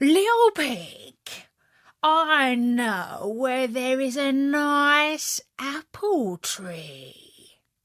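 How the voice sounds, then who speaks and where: In a put-on character voice, a woman speaks at a very slow pace and high pitch on a very clean recording with a silent background. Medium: read story. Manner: sly.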